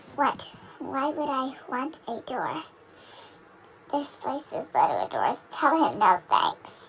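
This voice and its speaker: Using a cartoonish character voice, a woman speaks at a high pitch with very wide pitch swings and long, frequent pauses. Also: fairly slow pace. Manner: theatrical, mischievous.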